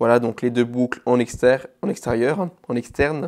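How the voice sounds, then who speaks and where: A man's voice of medium pitch, with typical rises and falls, moves along at an even, middling speed. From Alsace, Vosges mountains. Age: 20s. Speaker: bespoke shoemaker. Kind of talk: casual interview. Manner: hesitant, many fillers.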